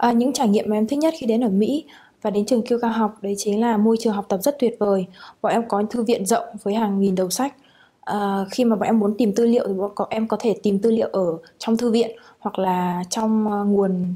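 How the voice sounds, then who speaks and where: Fairly high yet dark and mellow, a woman's somewhat breathy voice moves at a fairly quick pace. Her intonation stays fairly even and her loudness very even. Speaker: international student. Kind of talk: student testimonial. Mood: calm, positive. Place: hall.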